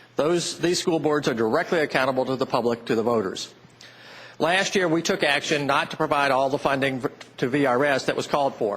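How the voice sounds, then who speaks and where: A man with an American accent has a normal speaking voice, fairly high in pitch, with ordinary pitch variation. He talks at a fairly quick pace with very even loudness. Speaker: state senator. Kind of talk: legislative floor speech.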